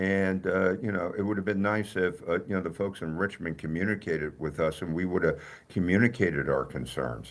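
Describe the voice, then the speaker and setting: Speaking fairly quickly with a New Jersey accent, a man uses a very deep, low pitch with vocal fry and ordinary pitch variation on a very clean recording with a silent background. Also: hardly any pauses. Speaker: mayor. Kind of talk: radio interview. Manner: halting, many fillers.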